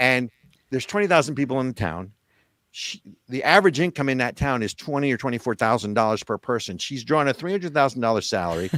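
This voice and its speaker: Very fast and animated, a voice with a New Jersey accent moves through lively intonation, recorded dry and close with no echo in a very clean recording with a silent background. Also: man, medium pitch for a man. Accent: New Jersey American. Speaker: political talk show host. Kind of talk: political commentary chat.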